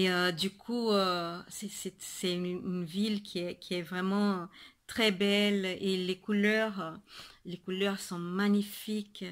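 A woman speaks very slowly with a monotone, flat intonation. The background is quiet. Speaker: knitting podcaster. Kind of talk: casual video podcast monologue. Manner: halting, many fillers and repetitions. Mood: cheerful, warm. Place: home room. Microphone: webcam.

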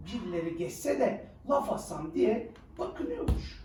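A fairly slow pace, very wide pitch swings and a slightly mellow tone, with audible room echo

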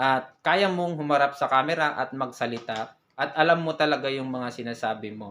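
A man at a moderate pace and medium pitch, in a normal speaking voice. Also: ordinary pitch variation, hardly any pauses. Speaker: vlogger. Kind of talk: tutorial.

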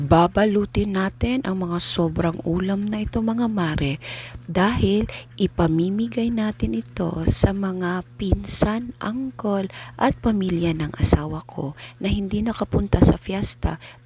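Noticeable background noise behind a woman with a medium-pitched voice. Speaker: family vlogger. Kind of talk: vlog narration.

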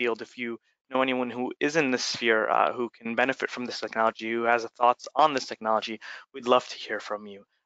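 A normal speaking voice is heard. It moves along fairly quickly. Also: man. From raised in the United States, born in Egypt. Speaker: startup founder and CEO. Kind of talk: webinar presentation.

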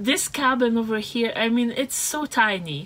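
This woman has a high-pitched voice. She talks at a fairly slow pace. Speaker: travel vlogger. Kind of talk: casual vlog chat. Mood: cheerful, amused. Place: car. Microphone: phone near.

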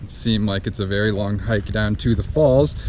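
Against light background noise, a man with a fairly low pitch speaks at a moderate pace, the sound dry with no echo. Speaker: travel vlogger. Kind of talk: casual vlog chat. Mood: cheerful, relaxed. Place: forest. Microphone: phone near.

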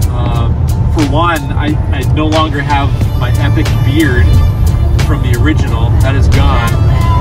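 A man at a fairly slow pace over loud music in the background, with dry sound and no echo. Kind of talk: casual vlog chat. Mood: upbeat, playful. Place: car.

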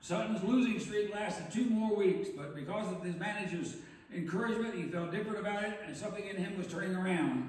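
Audible room echo surrounds a man's voice. He talks at a fairly quick pace. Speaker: pastor. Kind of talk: sermon. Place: church.

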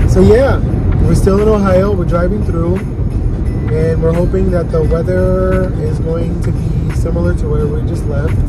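Delivered at a fairly slow pace, the speech has a dry sound with no echo and music in the background. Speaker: passenger vlogger. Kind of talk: casual vlog chat. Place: car. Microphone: phone near.

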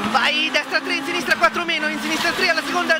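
Loud background noise surrounds a fairly quick voice with a dry sound and no echo. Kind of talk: rapid pace-note calls. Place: car. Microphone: headset.

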